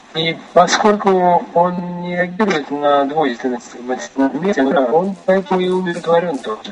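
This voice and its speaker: Over noticeable background noise, a man speaks at a moderate pace in a high pitch with ordinary pitch variation. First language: Russian. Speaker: interpreter. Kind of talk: consecutive interpretation. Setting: phone call. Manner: soft-spoken.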